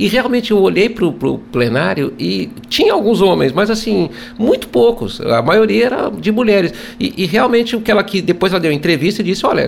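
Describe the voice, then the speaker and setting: A man's high-pitched voice at a fairly quick pace, with very wide pitch swings and noticeable background noise. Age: 60s. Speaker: radio host and journalist. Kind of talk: radio interview. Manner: formal.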